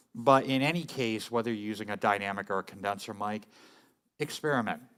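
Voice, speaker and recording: A man at a moderate pace with ordinary pitch variation, in a very clean recording with a silent background. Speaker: music gear tutorial host. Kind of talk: tutorial. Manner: casual, with many fillers. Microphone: very close to mic.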